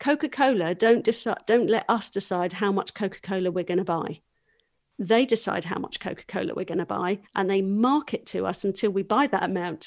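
A woman speaks at a medium pitch and a fairly quick pace, with ordinary pitch variation, in a normal speaking voice. The recording is very clean, with a silent background. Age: 40s. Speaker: business coach. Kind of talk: casual chat.

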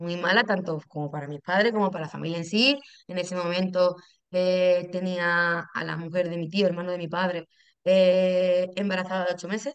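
An unremarkable speaking voice from a woman, pitched fairly low and moving at a moderate speed. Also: fairly even intonation. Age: 30s. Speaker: patient, lab technician. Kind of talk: interview, personal testimony.

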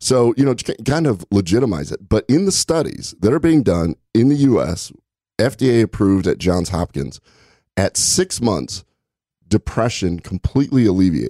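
A man with a fairly low pitch, a dark, mellow tone and vocal fry speaks at a moderate pace with very wide pitch swings. The recording is very clean with a silent background and a dry, close sound with no echo. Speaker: gastroenterologist podcast co-host. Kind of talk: casual chat.

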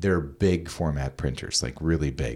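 Lively intonation colors a man's speech. His tempo is moderate. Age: 50s. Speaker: podcast host. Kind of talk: casual interview chat.

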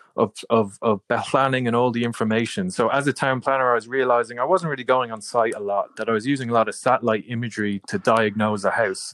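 A man's medium-pitched voice with a Dublin accent, fairly quick, in a dry, close sound with no echo. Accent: Irish (Dublin). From Ireland, Dublin. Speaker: tech company founder. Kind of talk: interview.

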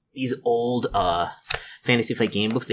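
The speaker is doing plain reading aloud.

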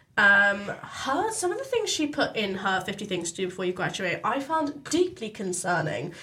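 A woman keeps a moderate speed, barely pausing at all, while noticeable background noise carries on behind her. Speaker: student newspaper editor and podcast host. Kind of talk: casual chat. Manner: animated.

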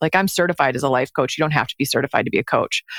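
In a Midwestern American accent, a woman speaks with ordinary pitch variation. The sound is dry and close, with no echo. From US Midwest, Detroit area. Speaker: life coach for lawyers, former attorney. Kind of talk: interview conversation.

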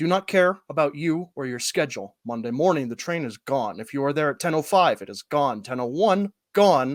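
In a very clean recording with a silent background and a dry, close sound with no echo, a man with an unremarkable speaking voice talks at a moderate pace and a fairly high pitch, with lively intonation and hardly any pauses. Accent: American. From US Midwest, northwest Ohio. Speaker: improv comedian, co-writer. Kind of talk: improvised mock conference presentation.

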